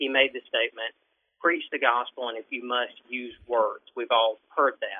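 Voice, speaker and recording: A man with a Southern US accent at a moderate pace. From Alabama. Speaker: writer and software worker. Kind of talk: casual chat. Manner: halting.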